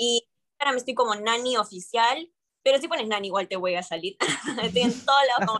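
A woman's fairly quick speech with ordinary pitch variation, against a quiet background. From mixed, born in Peru, long in Argentina. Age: 20s. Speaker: urban music singer; interviewee. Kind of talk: interview. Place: home room. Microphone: video call.

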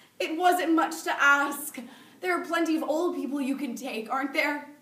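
The speech goes at a fairly slow pace with ordinary pitch variation, and audible room echo surrounds it. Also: woman. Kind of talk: dramatic monologue performance. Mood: grieving, angry, pleading. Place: classroom. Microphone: camera far.

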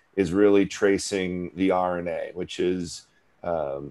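A man speaking at a very slow pace, with music in the background. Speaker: guest. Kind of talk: interview answer. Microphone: video call.

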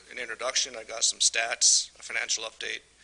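The speaker has a northern US accent. The pace is fairly quick. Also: man. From Michigan. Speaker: utility superintendent. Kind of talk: presentation at council meeting.

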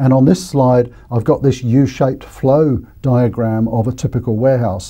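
Somewhat breathy, a man speaks with ordinary pitch variation over a quiet background. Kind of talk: educational presentation. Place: studio. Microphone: lapel.

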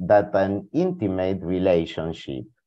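Against a quiet background, a man speaks with a Spanish accent. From Argentina. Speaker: philosopher and historian of science; presenter. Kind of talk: reading prepared talk. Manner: formal.

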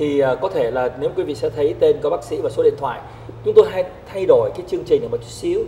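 A man speaks at a fairly quick clip over light background noise. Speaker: TV show host. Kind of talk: talk show introduction. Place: studio. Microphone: lapel.

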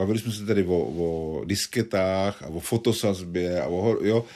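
A man's fairly low-pitched voice, with ordinary pitch variation, comes through over a quiet background. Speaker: journalist and satirist. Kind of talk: interview. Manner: halting.

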